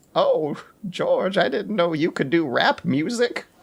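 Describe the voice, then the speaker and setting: Using a put-on character voice, a man speaks in a high pitch at a fairly slow pace with very even loudness. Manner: sweet, surprised.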